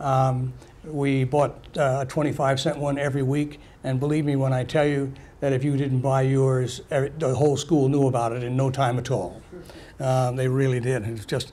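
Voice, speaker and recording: The speaker's intonation stays fairly even at a fairly quick pace. Room echo is audible. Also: man. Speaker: speaker recalling wartime childhood. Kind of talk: personal testimony talk. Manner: halting with many fillers.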